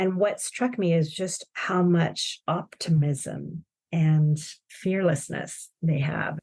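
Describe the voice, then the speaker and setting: Speaking at a very slow pace, a woman with an American accent has a fairly low, somewhat breathy voice, recorded with a dry, close sound and no echo. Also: ordinary pitch variation. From Chile. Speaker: corporate design executive. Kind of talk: podcast interview.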